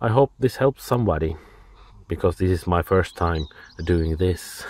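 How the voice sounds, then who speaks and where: In a dry, close sound with no echo, a man with a Finnish accent speaks at a moderate pace in a very deep, low pitch with ordinary pitch variation. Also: very even loudness. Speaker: DIY car repair hobbyist. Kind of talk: tutorial. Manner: halting.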